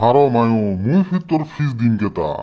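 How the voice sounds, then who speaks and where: This cartoonish character voice moves at a fairly quick pace with very wide pitch swings. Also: man, medium pitch for a man. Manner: blunt, drawling, preachy.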